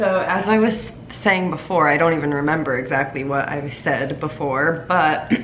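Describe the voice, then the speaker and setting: A woman with a very deep, low pitch is heard through noticeable background noise and audible room echo. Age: 20s. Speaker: vlogger, recent college graduate. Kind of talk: casual vlog monologue. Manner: hesitant, many fillers.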